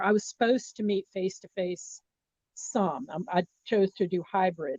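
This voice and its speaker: An ordinary speaking voice from a woman with an American accent, medium pitch, moderate pace and ordinary pitch variation, dry and close with no echo. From US South, Miami, Florida. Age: 60s. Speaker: communication professor. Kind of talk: interview.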